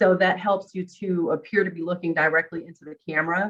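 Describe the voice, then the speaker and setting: Here is a woman with a normal speaking voice. Her pitch is fairly low and her intonation fairly even. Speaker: co-facilitator. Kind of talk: online workshop discussion; casual chat.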